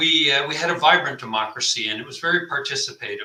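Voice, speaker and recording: With a Canadian accent, a man with an unremarkable speaking voice talks at a moderate pace with lively intonation. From Canada. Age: 60s. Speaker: retired army officer and commentator. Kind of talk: interview discussion. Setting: live broadcast.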